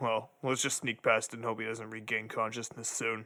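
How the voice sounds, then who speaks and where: A man puts on a character voice at a medium pitch. His delivery is monotone and flat, at a moderate pace. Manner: sarcastic, laid-back.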